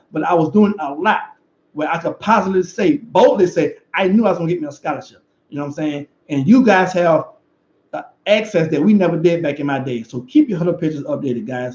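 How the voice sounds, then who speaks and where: Speaking at a very fast pace with lively intonation, a man with a Louisiana accent uses a high pitch. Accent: Louisiana Southern US. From Louisiana, River Parishes. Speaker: football coach and former player. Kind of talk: video commentary and motivational message.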